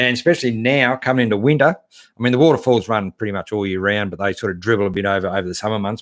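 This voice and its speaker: On a very clean recording with a silent background, a man with an Australian accent talks at a very fast pace with ordinary pitch variation. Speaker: 4WD channel host. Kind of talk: live stream chat reading viewer comments. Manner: casual, hesitant with many fillers.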